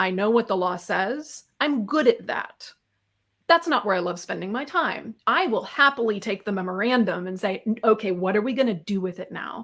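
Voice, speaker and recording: An American accent comes with lively intonation. The speech moves at a moderate pace. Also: woman, fairly high pitch for a woman. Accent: somewhat American. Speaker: tax consultant. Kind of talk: webinar interview.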